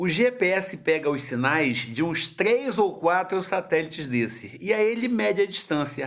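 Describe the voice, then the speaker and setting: A man's high-pitched voice at a fairly slow pace, with very wide pitch swings over noticeable background noise. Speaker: grandfather teaching science to grandson. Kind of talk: home video lesson for a child. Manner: slow, explanatory.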